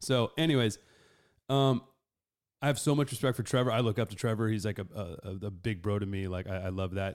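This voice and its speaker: With an American accent, a man talks at a fairly quick pace in an ordinary speaking voice, fairly low in pitch with ordinary pitch variation. The background is silent in this very clean recording. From Los Angeles. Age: 30s. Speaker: podcast host and musician. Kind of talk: casual chat. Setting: live stream.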